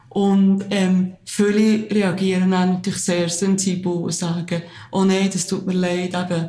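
Her pace is fairly slow and her intonation monotone and flat. The woman's pitch sits at medium, with audible room echo. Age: 30s. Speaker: teacher and support group founder. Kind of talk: interview.

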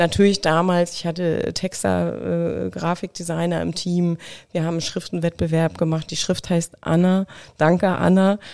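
A woman talks at a moderate pace in a fairly low pitch, with a calm tone. Her intonation stays monotone and flat. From Mecklenburg, eastern Germany. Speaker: creative agency owner. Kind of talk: interview conversation. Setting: host's studio.

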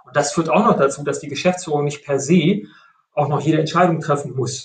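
Here a man with an unremarkable speaking voice talks at a fairly high pitch with ordinary pitch variation. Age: 50s. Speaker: IT company executive. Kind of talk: interview.

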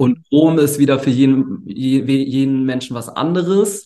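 A man talks in a dark, mellow tone, his pitch varying in an ordinary way. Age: 20s. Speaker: entrepreneur, agency founder. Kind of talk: interview. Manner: relaxed; hesitant, many fillers.

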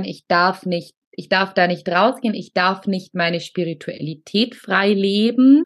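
Speaking in an ordinary speaking voice, a woman keeps a medium pitch, ordinary pitch variation and a fairly slow pace. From Allgäu, southern Germany. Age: 30s. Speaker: spiritual coach for women. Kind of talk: casual interview chat.

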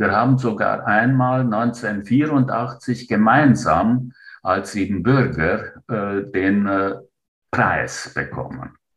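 The pace is very slow as a man speaks. His pitch is medium, with ordinary variation. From Romania, Transylvania (Transylvanian Saxon). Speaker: writer and retired teacher. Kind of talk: interview. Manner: hesitant, frequent filler sounds.

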